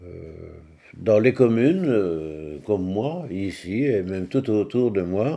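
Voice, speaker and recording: In a Walloon accent, a man speaks very slowly at a fairly low pitch, with lively intonation and big swings in loudness. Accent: Belgian French (Walloon). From Belgium, Liège province (Francorchamps). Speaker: war survivor, former race circuit manager. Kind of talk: testimony. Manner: halting, with frequent hesitations.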